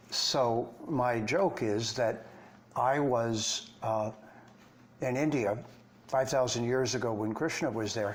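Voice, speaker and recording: A man with an American accent talks at a very slow pace, with long, frequent pauses. His medium pitch shows ordinary variation, and room echo is audible. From Detroit, Michigan, US. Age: 70s. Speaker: Vedic scholar and teacher. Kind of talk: interview conversation.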